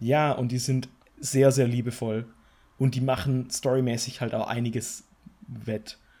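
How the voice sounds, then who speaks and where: With a dark, mellow tone and a somewhat breathy quality, a man speaks at a fairly slow pace in a flat monotone, leaving long, frequent pauses. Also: medium pitch for a man. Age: 20s. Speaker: gaming podcast co-host. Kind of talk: casual chat.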